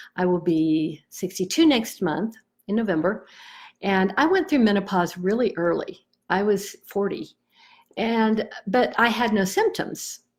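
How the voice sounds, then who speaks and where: A woman's unremarkable speaking voice, medium in pitch, fairly slow and lively in intonation, on a very clean recording with a silent background. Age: 60s. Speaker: EFT tapping practitioner. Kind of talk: personal testimony. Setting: Facebook live video. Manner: casual, conversational.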